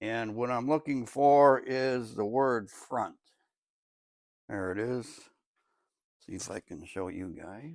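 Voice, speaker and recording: Very slow, medium-pitched speech from a man, with long, frequent pauses, big swings in loudness and ordinary pitch variation, on a very clean recording with a silent background. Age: 70s. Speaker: DIY car mechanic video host. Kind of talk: tutorial. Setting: home garage. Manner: casual, conversational.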